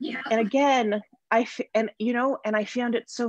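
A quiet background and a dry, echo-free sound at a moderate pace. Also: woman. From Toronto, Canada. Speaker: somatic therapist and energy healer; guest. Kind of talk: interview. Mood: reflective, earnest. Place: home room. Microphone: video call.

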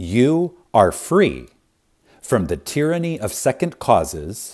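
A man's voice swings very widely in pitch on a very clean recording with a silent background. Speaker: audiobook narrator. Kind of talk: audiobook reading. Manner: reverent, measured with pauses and emphasis.

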